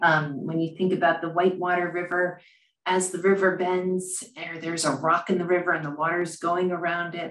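Heard with audible room echo, a woman speaks in a fairly low pitch. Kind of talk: lecture. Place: office. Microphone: webcam.

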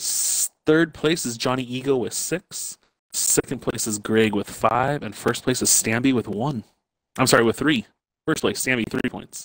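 Against a quiet background with a dry sound and no echo, a man with an American accent speaks at a fairly slow pace with long, frequent pauses and ordinary pitch variation. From Wyoming, US. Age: 30s. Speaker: racing league organizer; race host streamer. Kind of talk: casual chat during gaming session; announcing race results. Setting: online voice party. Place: home room.

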